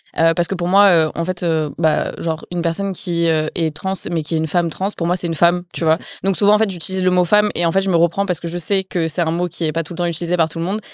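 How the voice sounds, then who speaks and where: A woman speaks very fast in a flat monotone at a fairly low pitch. The sound is dry and close with no echo, over a quiet background. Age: 20s. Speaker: author and content creator. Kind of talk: casual interview.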